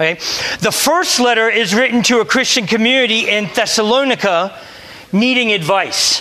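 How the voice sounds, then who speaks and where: The voice is raised and projected, with an American accent and ordinary pitch variation. Noticeable background noise sits behind it. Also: man, high pitch for a man, moderate pace. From US, Delaware. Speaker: priest. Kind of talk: sermon. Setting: church.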